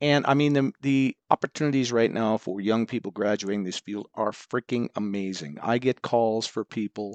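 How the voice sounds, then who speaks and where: A man speaks at a moderate pace and a medium pitch, with hardly any pauses. His is an unremarkable speaking voice with ordinary pitch variation. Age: 60s. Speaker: university professor. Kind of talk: interview. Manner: measured, with frequent fillers.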